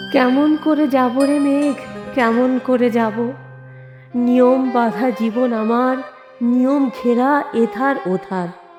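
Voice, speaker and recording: Over music in the background, a woman speaks in a high voice with fairly even intonation and very even loudness. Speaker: reciter. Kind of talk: poetry reading.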